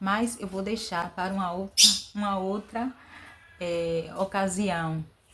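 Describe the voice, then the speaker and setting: A woman's voice at a medium pitch, its intonation fairly even. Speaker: vlogger. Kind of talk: inspirational talk. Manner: hesitant fillers.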